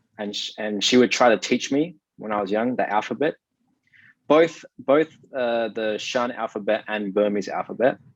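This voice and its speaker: With an Australian accent, a medium-pitched man talks at a moderate pace with ordinary pitch variation, the sound dry and close with no echo. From South Australia (Adelaide). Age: 20s. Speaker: digital marketing consultant and investor. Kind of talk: interview. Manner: halting.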